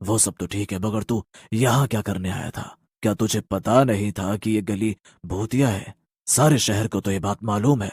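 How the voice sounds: At a moderate pace, a man performs a cartoonish character voice pitched fairly low, on a very clean recording with a silent background.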